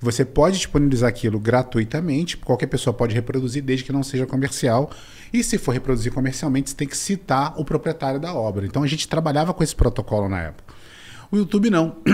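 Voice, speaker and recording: This man, at a medium pitch, talks at a very fast pace with lively intonation and a somewhat breathy sound. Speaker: business mentor and angel investor. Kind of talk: interview. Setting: studio, in person.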